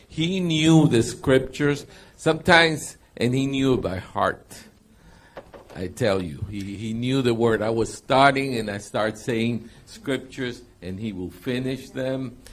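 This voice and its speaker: A man speaks at a fairly slow pace with medium pitch, ordinary pitch variation and an unremarkable speaking voice. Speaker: interpreter.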